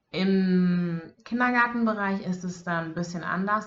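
Somewhat breathy and fairly low in pitch, a woman speaks with ordinary pitch variation. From Bavaria, Germany. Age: 20s. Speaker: social work student and daycare worker. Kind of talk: casual interview chat.

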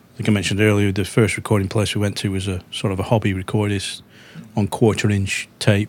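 At a very fast pace, a man talks in a fairly low, monotone voice with flat intonation. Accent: Lancashire. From northwest England, Darwen near Manchester. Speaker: musician and songwriter. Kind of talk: podcast interview.

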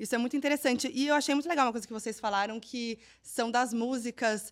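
A woman with a fairly high pitch speaks in an animated tone on a very clean recording with a silent background. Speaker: presenter and journalist. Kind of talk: interview.

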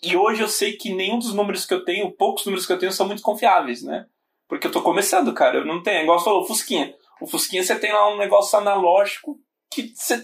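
A high-pitched man rattles along at a very fast pace, his intonation lively. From Brazil, São Paulo (born in Bahia). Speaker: podcast host and startup founder. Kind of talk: casual interview chat.

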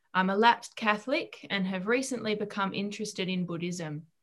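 Speaking at a moderate pace, a woman uses an unremarkable speaking voice at medium pitch with ordinary pitch variation. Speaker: question reader. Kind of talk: relaying audience questions.

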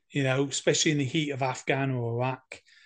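Here a man talks with an English accent. His pace is moderate. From England. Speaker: war veteran. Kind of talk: interview.

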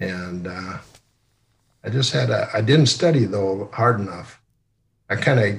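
A man talks at a moderate pace in a fairly low, somewhat breathy voice. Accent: Midwestern US. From Sioux Center, Iowa. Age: 60s. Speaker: retired company CEO. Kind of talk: casual interview, storytelling. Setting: video call.

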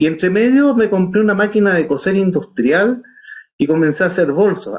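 The intonation is lively. A man delivers his words at a moderate pace. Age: 60s. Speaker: orchestral bassoonist. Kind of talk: interview. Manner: halting.

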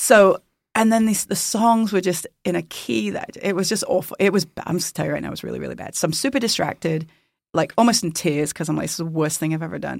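A woman's fairly low, fry-edged voice at a very fast pace with lively intonation, on a very clean recording with a silent background. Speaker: worship leader. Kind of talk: casual chat. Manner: playful, joking.

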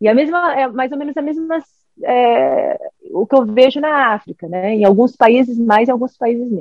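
Her voice is high and her pitch moves in an ordinary way. The woman keeps a moderate tempo. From Brazil. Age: 40s. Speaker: governance specialist. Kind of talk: casual chat.

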